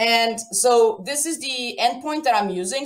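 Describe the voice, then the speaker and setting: With a Portuguese accent, a woman talks at a high pitch and with lively intonation. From Portugal. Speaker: software developer, conference speaker. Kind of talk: live coding tutorial at online conference. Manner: casual, chatty.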